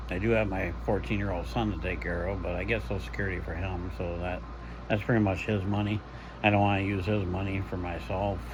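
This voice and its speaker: Someone talks very fast with very wide pitch swings, and room echo is audible. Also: man, very deep, low pitch for a man. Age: 60s. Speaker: retiree vlogger. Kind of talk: casual vlog monologue. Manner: halting, with fillers.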